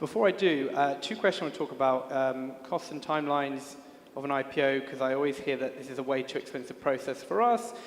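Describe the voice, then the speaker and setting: Over noticeable background noise, a man talks at a very fast pace in a fairly high pitch with ordinary pitch variation. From UK. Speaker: panel moderator. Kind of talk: panel discussion.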